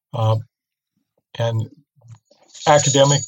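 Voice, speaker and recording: A somewhat breathy man's voice of medium pitch with fairly even intonation. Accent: American. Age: 60s. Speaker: investment researcher and author. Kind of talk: interview. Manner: hesitant, many fillers.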